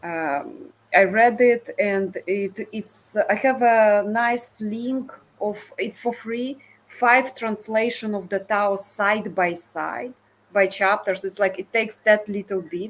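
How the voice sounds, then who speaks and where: Speaking very slowly with a non-native accent, a woman uses a fairly high pitch and ordinary pitch variation. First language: not English. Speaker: discussion participant. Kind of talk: casual chat. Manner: halting.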